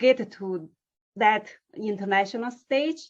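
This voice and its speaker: A woman with a non-native accent, at a very slow pace. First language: not English. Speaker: interviewer. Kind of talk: interview.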